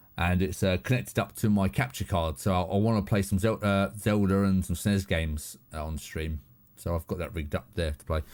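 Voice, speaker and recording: A man speaks with a southern English accent at a fairly quick pace, his pitch very deep and low. His pitch varies in an ordinary way, and the recording is very clean against a silent background. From southern England. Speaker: live streamer. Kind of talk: casual chat. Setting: home studio.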